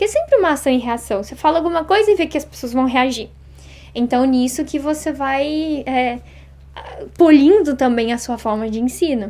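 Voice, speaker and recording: A woman speaks with a high pitch and lively intonation. Her tone is dark and mellow. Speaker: Japanese language teacher. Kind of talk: interview. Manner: fast.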